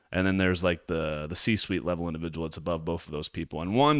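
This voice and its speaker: The recording is very clean and the background silent. A man talks with a very deep, low pitch. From southern Louisiana. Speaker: live stream host, business coach. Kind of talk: live stream commentary. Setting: live stream. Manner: animated.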